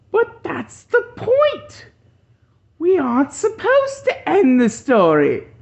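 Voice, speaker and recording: This is a put-on character voice at an extremely high pitch. It moves at a fairly slow pace. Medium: read story.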